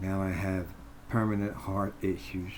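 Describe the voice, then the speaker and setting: The speech moves at a fairly slow pace with ordinary pitch variation. Audible room echo surrounds it. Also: man. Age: 70s. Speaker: bank customer making a complaint video. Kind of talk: personal complaint monologue.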